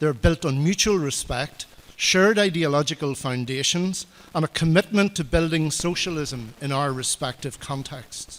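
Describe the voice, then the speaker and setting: A man talks at a moderate pace with an Irish accent. His pitch varies in an ordinary way. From Ireland. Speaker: political party official. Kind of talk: conference speech. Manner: formal.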